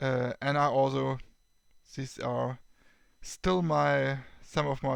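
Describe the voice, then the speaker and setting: Very slowly, a man talks with a German accent. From Germany. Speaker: tech YouTuber. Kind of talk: tutorial. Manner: halting.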